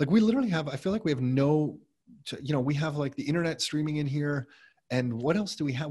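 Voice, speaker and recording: Against a quiet background, a man with a Canadian accent talks at a very fast pace in a fairly high, somewhat breathy voice. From Canada, Mississauga (Greater Toronto Area). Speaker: real estate investor and entrepreneur. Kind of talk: interview.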